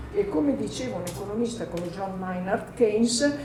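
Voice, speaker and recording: A woman speaks with an Emilian accent. Audible room echo and noticeable background noise surround her voice. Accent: Emilian Italian. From Emilia, northern Italy. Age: 50s. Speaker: journalist and author, panelist. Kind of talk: panel discussion.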